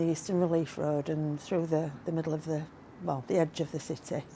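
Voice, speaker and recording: A woman with a Yorkshire accent speaks at a moderate pace. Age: 60s. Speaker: motorcycle vlogger. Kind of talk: vlog monologue.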